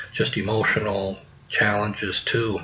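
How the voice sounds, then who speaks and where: Background noise is clearly audible. Over it, a male voice talks. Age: 60s. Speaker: hunting podcast host. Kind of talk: personal storytelling podcast. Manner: casual, many filler words.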